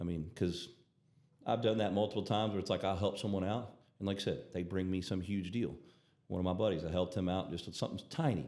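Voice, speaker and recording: In a room with audible echo, a man with a Southern US accent speaks very fast in a very deep voice with fairly even intonation. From Alabama, US South. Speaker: doctor and peptide clinic owner. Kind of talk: casual chat.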